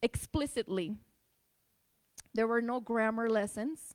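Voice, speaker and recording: A high-pitched woman's voice with a slight Spanish accent and fairly even intonation. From Tijuana, Mexico. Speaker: speaker on immigrant experience. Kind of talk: public talk. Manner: hesitant with many fillers.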